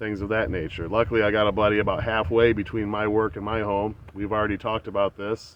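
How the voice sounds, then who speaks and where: Here a man talks in an American accent with hardly any pauses. His intonation stays monotone and flat. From USA. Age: 40s. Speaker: army veteran and outdoor vlogger. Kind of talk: casual vlog talk. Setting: outdoors, walking. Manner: casual, with hesitations.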